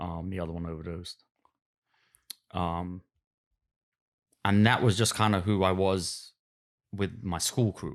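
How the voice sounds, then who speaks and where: In a very clean recording with a silent background, a man speaks with a Cockney accent. His very deep, low voice moves at a fairly slow pace with ordinary pitch variation. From West London, England. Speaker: podcast guest. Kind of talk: casual chat. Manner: halting.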